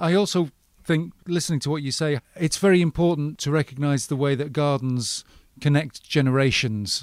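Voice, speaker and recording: A man with a plain, everyday voice in a dry, close sound with no echo. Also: fairly high pitch for a man, ordinary pitch variation, moderate pace, very clean recording, silent background. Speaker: podcast host. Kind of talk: interview.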